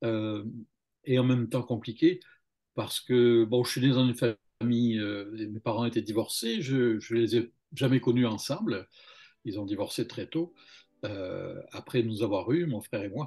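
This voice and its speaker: A man's dark, mellow voice at a fairly slow pace, broken by long, frequent pauses. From southern France, Montpellier. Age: 60s. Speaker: religious testimony guest. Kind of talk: testimony. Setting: video call. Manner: halting, many hesitations.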